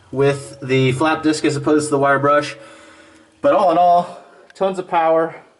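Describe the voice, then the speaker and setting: A man talks fairly slowly while background noise can be clearly heard. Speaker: DIY tool reviewer. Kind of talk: product review tutorial. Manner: casual with fillers; loud.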